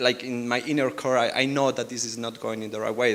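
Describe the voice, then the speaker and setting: Here a man talks with a strong Spanish accent. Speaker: R&D team lead, panelist. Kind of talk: panel discussion.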